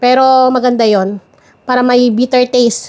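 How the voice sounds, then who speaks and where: The speaker is a woman. Her voice is high-pitched. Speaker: home baker, cooking channel host. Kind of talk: cooking tutorial. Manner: fast.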